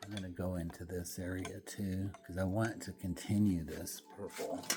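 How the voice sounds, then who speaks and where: A soft-spoken man with a relaxed tone and a very deep, low pitch. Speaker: painter. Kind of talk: studio painting vlog. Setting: art studio. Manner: relaxed, halting.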